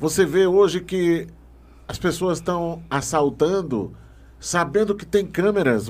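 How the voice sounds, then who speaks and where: The pitch rises and falls in an ordinary way. The pace is fairly slow. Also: man. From Maranhão, Brazil. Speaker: podcast host. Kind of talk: interview.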